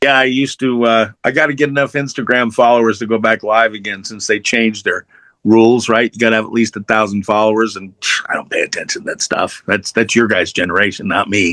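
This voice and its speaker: Recorded very cleanly with a silent background and a dry, close sound with no echo, a man speaks at a very fast pace with hardly any pauses in a bright, sharp tone. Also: fairly even intonation. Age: 70s. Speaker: voice actor and narrator. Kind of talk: interview. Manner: casual.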